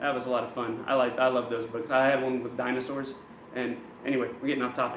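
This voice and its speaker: Talking at a very fast pace, a man is heard with audible room echo and noticeable background noise. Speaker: wrestling news show host. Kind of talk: comedic wrestling news monologue. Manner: loud; animated.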